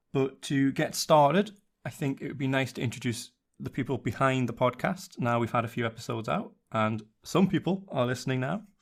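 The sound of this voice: At a moderate pace, a man talks with vocal fry. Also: medium pitch for a man, ordinary pitch variation.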